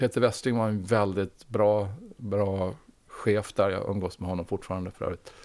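On a very clean recording with a silent background, a man speaks fairly slowly in an unremarkable speaking voice with a fairly low pitch. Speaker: former food company CEO. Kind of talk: interview.

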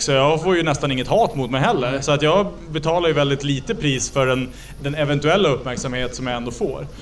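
This man has a fairly high pitch and ordinary pitch variation, with an Ångermanland accent. Background noise is noticeable. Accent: Norrland dialect, Ångermanland. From Ångermanland, northern Sweden. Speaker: politician. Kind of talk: casual interview. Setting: on location at Almedalen week in Visby.

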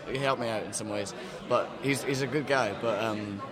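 Noticeable background noise sits behind a man speaking fairly quickly at a medium pitch with fairly even intonation. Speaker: musician. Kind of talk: casual interview.

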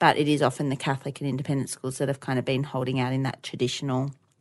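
A woman with an Australian accent against a quiet background. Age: 30s. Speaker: podcast co-host, educator. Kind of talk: casual chat.

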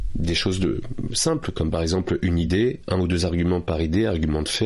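Very deep, low male speech, fairly quick, with ordinary pitch variation. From France, Paris suburbs. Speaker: author and public speaking trainer. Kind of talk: interview.

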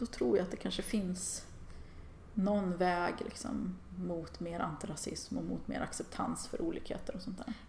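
A woman at a moderate pace, with noticeable background noise and audible room echo. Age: 40s. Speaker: feminist online writer and artist. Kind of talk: casual interview chat.

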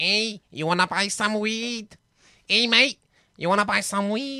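A female-sounding put-on character voice speaks at a medium pitch and fairly slow pace. The recording is very clean, with a silent background.

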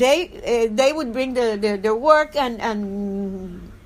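With a Spanish accent, a woman talks at a fairly slow pace, her fairly high pitch showing ordinary variation. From Cuba. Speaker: dissident journalist. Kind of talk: interview. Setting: at home. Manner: halting.

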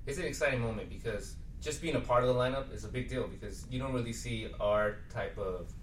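A man with an American accent talks at a very fast pace. Noticeable background noise is present. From Inland Empire, Southern California (Rialto). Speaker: band musician. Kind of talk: interview.

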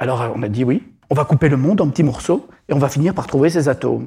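This man's fairly high pitch comes with a dark, mellow, somewhat breathy tone and ordinary pitch variation. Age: 50s. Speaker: psychotherapist and author. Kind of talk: public talk. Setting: stage with audience. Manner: halting.

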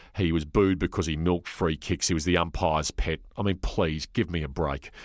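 In an Australian accent, a man speaks with a very deep, low pitch at a moderate pace, on a very clean recording with a silent background and a dry, close sound with no echo. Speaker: sports journalist. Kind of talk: interview.

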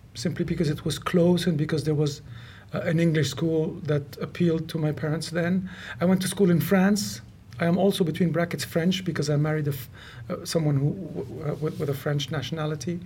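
A man with a Lebanese accent speaks in a fairly high pitch with a dark, mellow tone, ordinary pitch variation and a moderate pace. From Lebanon, Beirut. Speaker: mountaineer and polar adventurer. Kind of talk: interview.

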